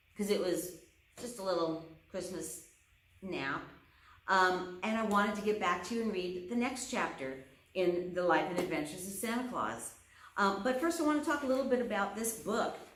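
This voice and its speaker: A woman at a medium pitch and moderate pace, lively in intonation, with audible room echo and noticeable background noise. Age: 60s. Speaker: librarian reading to children. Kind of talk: casual chat; reading aloud.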